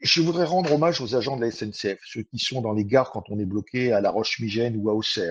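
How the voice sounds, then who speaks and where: Somewhat breathy, a man talks at a fairly quick pace, with a medium pitch and lively intonation. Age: 60s. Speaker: train commuter. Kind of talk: testimony.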